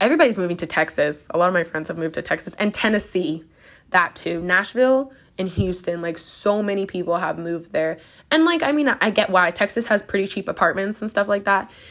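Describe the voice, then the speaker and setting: At a very fast pace and medium pitch, a woman speaks in an animated tone, recorded very cleanly with a silent background. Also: lively intonation. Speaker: podcast host. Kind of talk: casual monologue podcast. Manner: chatty, animated.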